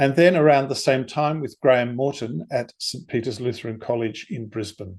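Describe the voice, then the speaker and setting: A man with an Australian accent, medium pitch, moderate pace and ordinary pitch variation, on a very clean recording with a silent background. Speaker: composer and conductor. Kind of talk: lecture. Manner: formal.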